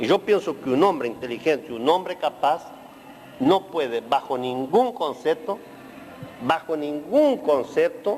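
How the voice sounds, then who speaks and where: The speaker moves at a fairly slow pace while the pitch swings very widely. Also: man, fairly high pitch for a man. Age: 60s. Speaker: emigrant interviewee. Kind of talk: interview.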